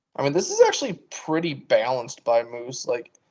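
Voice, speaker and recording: A man talks at a fairly quick pace in a plain, everyday voice. His pitch variation is ordinary. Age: 20s. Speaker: poker commentator. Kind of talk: live commentary.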